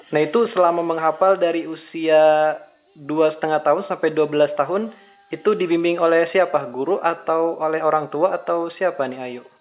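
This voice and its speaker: The speaker has an ordinary speaking voice. The pace is moderate and the intonation fairly even. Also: man, fairly high pitch for a man. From Indonesia, West Java (Bandung). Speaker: Islamic preacher and interviewer. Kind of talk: remote interview. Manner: casual.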